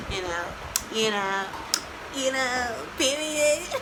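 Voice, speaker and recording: A woman speaks at a fairly slow pace with lively intonation. Noticeable background noise and audible room echo surround her voice. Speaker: vlogger. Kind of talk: casual vlog chat. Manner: animated.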